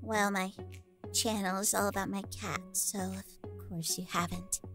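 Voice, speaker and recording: A female-sounding voice does a put-on character voice at a moderate pace, with clear music in the background. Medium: role play. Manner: upbeat, excitable.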